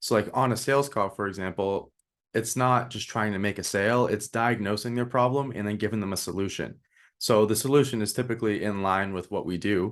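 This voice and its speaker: Over a quiet background, a man talks at a fairly quick pace in an unremarkable speaking voice, pitched fairly low with fairly even intonation. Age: 20s. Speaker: marketing agency owner. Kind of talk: casual interview chat.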